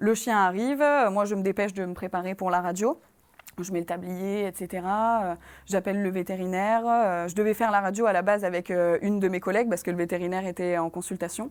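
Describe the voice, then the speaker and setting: A woman's medium-pitched voice moves along at a fairly quick clip, her intonation fairly even. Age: 20s. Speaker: former veterinary assistant. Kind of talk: testimony. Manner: halting, many hesitations.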